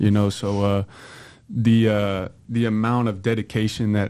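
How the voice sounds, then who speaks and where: A man speaks with a fairly low pitch and a flat, monotone delivery over a quiet background. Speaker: college football player. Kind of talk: interview. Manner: laid back.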